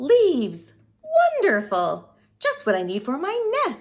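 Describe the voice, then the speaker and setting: The pitch here is high for a woman. She uses a put-on character voice. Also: fairly slow pace. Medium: read story.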